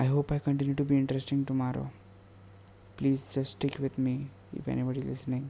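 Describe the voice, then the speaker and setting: Somewhat breathy male speech at medium pitch and a moderate pace, with monotone, flat intonation. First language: not English. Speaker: podcaster. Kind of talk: casual monologue. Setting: at home late at night. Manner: halting.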